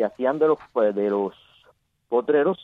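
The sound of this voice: A man at medium pitch and a moderate pace, ordinary pitch variation, dry, close sound with no echo.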